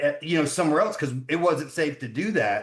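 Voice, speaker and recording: Lively intonation runs through a normal speaking voice with an American accent. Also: man. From US South, Georgia. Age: 40s. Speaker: son of a famous wrestler. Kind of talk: interview.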